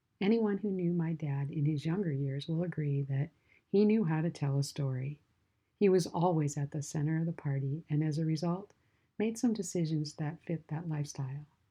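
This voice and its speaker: At a moderate pace, a woman speaks in a very deep, low, warm, somewhat breathy voice with ordinary pitch variation. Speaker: podcast host. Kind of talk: faith podcast narration. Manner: warm, heartfelt.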